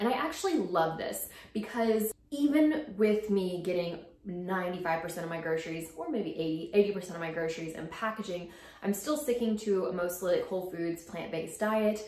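A woman talks at a fairly low pitch with ordinary pitch variation. Room echo is audible. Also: moderate pace, slightly mellow tone.

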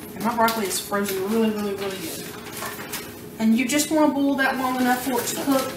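A woman talks at a fairly quick pace with fairly even intonation. Noticeable background noise runs behind her. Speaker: home cooking show host. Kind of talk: tutorial. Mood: relaxed, casual. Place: kitchen.

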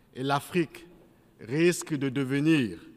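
With ordinary pitch variation, the man talks at a very slow pace. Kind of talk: formal speech. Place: hall. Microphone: podium.

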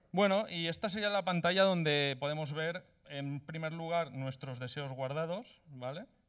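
The speech moves at a fairly slow pace with ordinary pitch variation and big swings in loudness over a quiet background. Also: man. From Spain, Valencia; Spain. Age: 30s. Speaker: coding bootcamp graduate presenting project; presenter. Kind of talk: project demo presentation; project presentation. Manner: hesitant, many filler sounds. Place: hall. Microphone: handheld.

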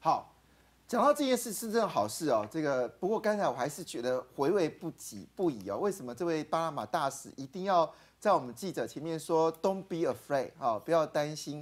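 Speaking at a moderate pace, a man uses a fairly high pitch with very wide pitch swings. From Taiwan. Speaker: political talk show host. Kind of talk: call-in political talk show. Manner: animated. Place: studio. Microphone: lapel.

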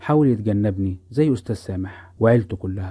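With an Egyptian accent, a man speaks at a moderate pace with ordinary pitch variation. His tone is dark, mellow and somewhat breathy. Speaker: podcast storyteller. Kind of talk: scripted narration.

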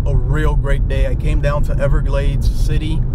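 A man speaks at a moderate pace over loud background noise, the sound dry with no echo. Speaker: fishing vlogger. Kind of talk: casual vlog chat. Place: car. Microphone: phone near.

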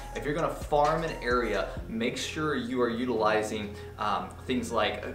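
Over clear background music, a man speaks fairly slowly with ordinary pitch variation. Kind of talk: tutorial. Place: office.

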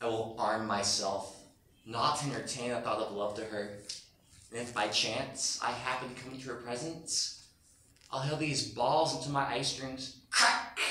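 Over light background noise and audible room echo, a man speaks at a moderate pace with ordinary pitch variation. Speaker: actor. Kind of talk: theatrical monologue. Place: hall. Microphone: camera far.

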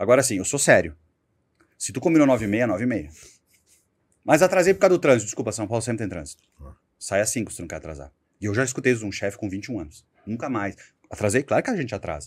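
A man at medium pitch talks very fast with vocal fry, very wide pitch swings and big swings in loudness. Long pauses come often, and the recording is very clean with a silent background. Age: 40s. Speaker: sales executive. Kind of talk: interview.

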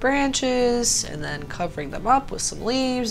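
A woman with an American accent at a moderate pace, music in the background. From Pittsburgh, Pennsylvania, USA. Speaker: painter, art tutorial host. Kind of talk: painting tutorial talk to camera. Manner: casual, friendly.

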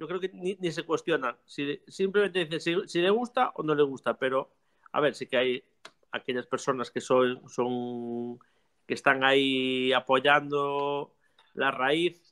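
A man speaks in a normal speaking voice, fairly high in pitch, with ordinary pitch variation. His pace is fairly slow, and the background is quiet. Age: 40s. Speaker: music teacher and theater company director; music teacher. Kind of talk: casual chat. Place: workshop. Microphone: video call.

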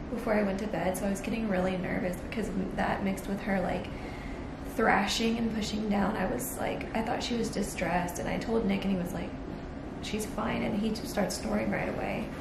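Loud background noise runs under this clip. A woman talks at a fairly quick pace. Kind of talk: casual vlog chat. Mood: shaken but relieved.

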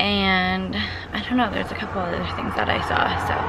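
Loud background noise surrounds a woman speaking with a Canadian accent, her voice dry with no echo. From Canada. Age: 20s. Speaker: vlogger. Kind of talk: vlog talk to camera. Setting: indoors at a condo. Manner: casual, chatty. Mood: relaxed, soft. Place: car. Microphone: phone near.

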